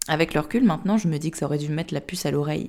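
A somewhat breathy voice with a dark, mellow tone. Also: woman. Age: 20s. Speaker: sophrologist and podcast host sharing her own story. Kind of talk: personal testimony.

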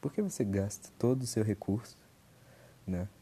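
A man speaks at a fairly slow pace in a fairly low pitch. His tone is dark and mellow, and somewhat breathy. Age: 20s. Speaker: podcaster. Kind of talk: casual monologue. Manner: halting.

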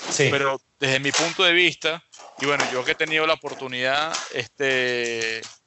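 Here is a man with an unremarkable speaking voice. His pitch is fairly high and varies in an ordinary way. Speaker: podcast host. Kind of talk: casual interview.

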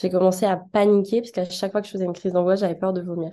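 Her voice has a dark, mellow tone at a medium pitch. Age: 20s. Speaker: design student. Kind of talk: testimony. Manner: halting.

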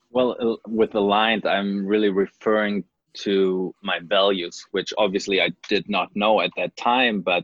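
The speaker talks at a fairly slow pace in a flat monotone. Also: man. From Germany. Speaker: life coach, former tennis player. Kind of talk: interview.

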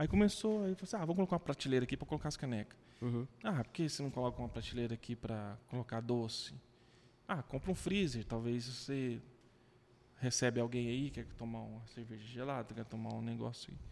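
Very fast pace with ordinary pitch variation. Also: man, medium pitch for a man. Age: 30s. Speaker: social media page creator. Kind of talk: casual chat.

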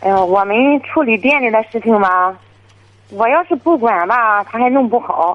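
A woman speaks at a moderate pace and fairly high pitch in a normal speaking voice. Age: 30s. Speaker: caller, furniture shop owner. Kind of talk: phone-in confession.

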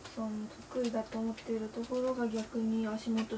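Over noticeable background noise, a woman speaks at a moderate pace in a fairly high, monotone voice with flat intonation. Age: 20s. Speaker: university student podcaster. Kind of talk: casual solo monologue. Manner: halting.

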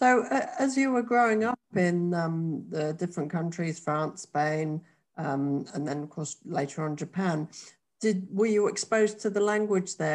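Lively intonation marks an ordinary speaking voice that keeps a moderate pace. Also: woman. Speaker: podcast host. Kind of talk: casual interview.

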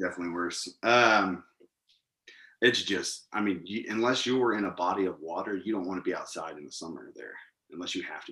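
With an American accent, a man talks at a fairly quick pace in a bright, sharp tone, his pitch varying in an ordinary way while his loudness swings widely. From Missouri. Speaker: military veteran. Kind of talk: casual interview.

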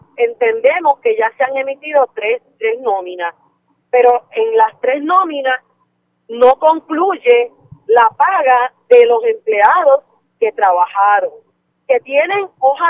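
A woman speaks very slowly in a high voice, her pitch swinging very widely. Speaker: union leader. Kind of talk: live interview.

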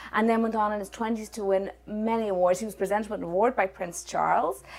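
In an Irish accent, a woman with fairly high pitch talks very fast with ordinary pitch variation. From Ireland. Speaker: podcast host. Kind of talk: casual interview.

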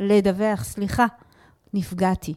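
Recorded dry and close with no echo, a woman talks at a moderate pace in a dark, mellow tone. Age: 50s. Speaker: emotional therapist and communication lecturer. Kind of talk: interview. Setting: studio.

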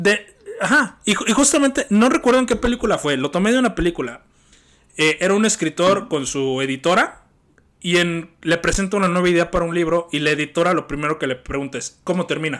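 At a fairly quick pace, a high-pitched man with a Mexican accent talks with lively intonation. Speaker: podcast host. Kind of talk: casual chat. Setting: call.

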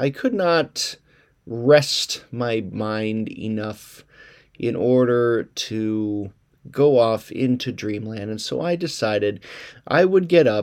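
On a very clean recording with a silent background, a man at medium pitch speaks with lively intonation. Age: 40s. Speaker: pastor and writer podcast host. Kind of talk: solo reflective monologue. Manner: halting repetitions.

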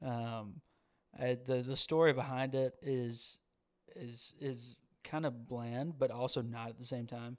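A man speaks at a fairly slow pace with a Southern US accent and flat, monotone intonation, his loudness swinging widely. The recording is very clean, with a silent background. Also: medium pitch for a man. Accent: Southern US (Georgia). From US South, Georgia. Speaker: singer-songwriter. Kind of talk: casual chat.

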